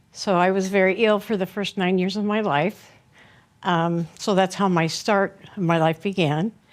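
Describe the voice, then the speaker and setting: A woman at medium pitch with an American accent, ordinary pitch variation and a moderate pace, on a very clean recording with a silent background. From US West Coast, Sacramento, California. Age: 60s. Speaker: author and abuse survivor. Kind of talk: interview testimony. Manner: halting, many fillers.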